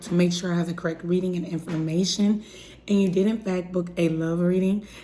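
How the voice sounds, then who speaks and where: There is noticeable background noise behind a woman's voice. She speaks at a fairly quick pace with a medium pitch and a monotone, flat intonation. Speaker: tarot reader. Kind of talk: tarot reading for a client.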